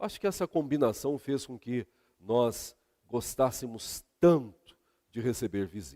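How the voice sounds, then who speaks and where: A man's medium-pitched voice, dark and mellow in tone, with a Minas Gerais accent, lively intonation and a very slow pace, in a dry, close recording with no echo, very clean with a silent background. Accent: mineiro. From Brazil, Minas Gerais. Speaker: pastor. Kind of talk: sermon.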